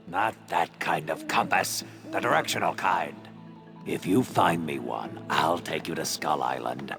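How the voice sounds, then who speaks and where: Over clear music in the background, a man uses a put-on character voice with a very deep, low pitch at a moderate pace. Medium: machinima. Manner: theatrical swings between doom and casual chatter.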